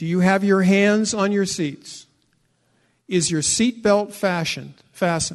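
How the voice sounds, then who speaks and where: The voice moves at a fairly slow pace with fairly even intonation. The background is quiet. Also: man, high pitch for a man. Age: 60s. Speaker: pastor. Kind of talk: sermon.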